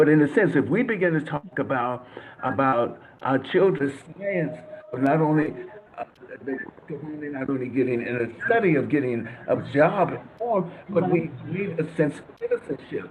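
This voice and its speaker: A man's fairly high-pitched voice in an American accent, with lively intonation, a moderate pace and long, frequent pauses, over noticeable background noise. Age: 70s. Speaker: panelist. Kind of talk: panel discussion. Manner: halting.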